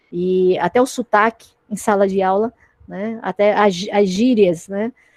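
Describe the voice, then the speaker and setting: Heard in a dry, close sound with no echo, a woman has a normal speaking voice at a medium pitch. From Acre and Paraíba, Brazil. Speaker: teacher. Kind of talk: panel discussion. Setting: online livestream.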